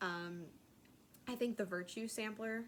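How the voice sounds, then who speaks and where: A woman with a slight Southern accent speaks with fairly even intonation. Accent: slight southern twang. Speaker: craft vlogger. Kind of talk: casual chat. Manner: hesitant, many fillers.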